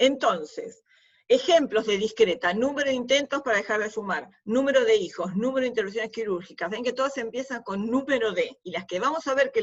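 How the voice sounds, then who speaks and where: At a moderate pace, a woman talks in a plain, everyday voice with fairly high pitch. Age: 60s. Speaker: university lecturer. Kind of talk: lecture. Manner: conversational.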